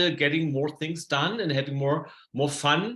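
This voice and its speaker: A man with a German accent speaks at a fairly high pitch in a bright, sharp tone. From Germany. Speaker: productivity coach. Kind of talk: presentation. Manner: hesitant with fillers.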